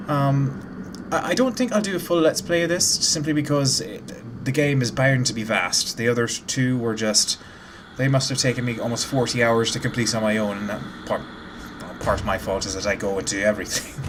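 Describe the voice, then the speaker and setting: A man at a medium pitch, fairly quick pace and lively intonation, with noticeable background noise. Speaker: gaming YouTuber. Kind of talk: let's play commentary. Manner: casual, filler-heavy.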